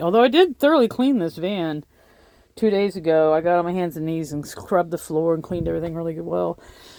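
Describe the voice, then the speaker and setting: A woman with a dark, mellow tone and ordinary pitch variation, at a fairly quick pace, in a very clean recording with a silent background. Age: 50s. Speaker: van life vlogger. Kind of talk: casual video tour. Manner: casual, chatty with fillers.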